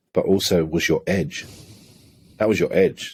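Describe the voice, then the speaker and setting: A man speaks at a fairly slow pace with an English accent. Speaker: holistic coach. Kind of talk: podcast interview conversation.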